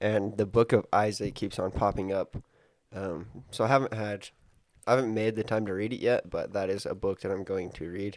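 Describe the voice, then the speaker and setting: Over a silent background in a very clean recording, a man speaks at a moderate pace with a fairly low pitch and monotone, flat intonation. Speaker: podcast co-host. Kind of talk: casual chat.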